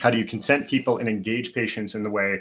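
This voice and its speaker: Against a quiet background, a man with a fairly low voice talks very fast. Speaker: physician and health tech executive. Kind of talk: panel presentation.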